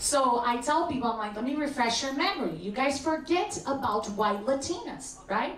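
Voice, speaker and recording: The speaker talks at a moderate pace with lively intonation and hardly any pauses. Noticeable background noise sits behind the voice. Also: woman, high pitch for a woman. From Brazil. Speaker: stand-up comedian. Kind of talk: stand-up.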